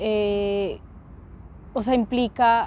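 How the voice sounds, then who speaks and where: The woman's voice sits at a fairly high pitch. She delivers everything in a monotone, flat way. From Colombia, Bogotá. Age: 30s. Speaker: activist and podcaster. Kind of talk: interview. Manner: hesitant, many fillers.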